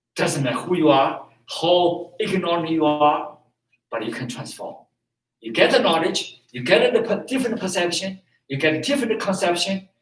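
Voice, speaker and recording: A man with a Chinese accent speaks at a high pitch with very wide pitch swings. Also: moderate pace, big swings in loudness. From China. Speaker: martial arts and meditation teacher. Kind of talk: teaching talk. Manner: halting.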